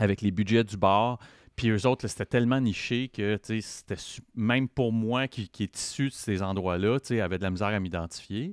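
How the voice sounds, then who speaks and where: At a moderate pace, a man with an unremarkable speaking voice talks at a fairly low pitch, with a dry, close sound with no echo on a very clean recording with a silent background. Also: ordinary pitch variation. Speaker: podcaster in addiction recovery. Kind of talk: casual interview chat.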